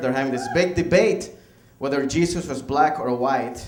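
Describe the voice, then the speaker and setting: A man with a Venezuelan accent speaks at a fairly quick pace with ordinary pitch variation. There is audible room echo and noticeable background noise. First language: Spanish. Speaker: stand-up comedian. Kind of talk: stand-up. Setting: stage with audience.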